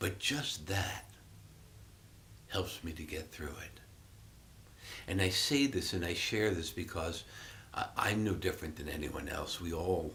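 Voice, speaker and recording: Audible room echo follows a fairly slow delivery broken by long, frequent pauses. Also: man. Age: 60s. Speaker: Buddhist meditation teacher. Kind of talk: dharma talk. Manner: reflective, halting with fillers.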